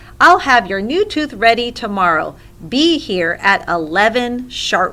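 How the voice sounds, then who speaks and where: Putting on a character voice, a woman speaks fairly slowly at a fairly high pitch over light background noise. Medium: read story.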